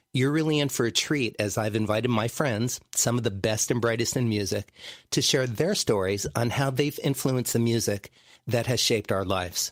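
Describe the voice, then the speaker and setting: A normal speaking voice from a man at medium pitch, moving at a moderate pace with ordinary pitch variation and very even loudness. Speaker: podcast host and musician. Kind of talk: podcast host intro and interview questions.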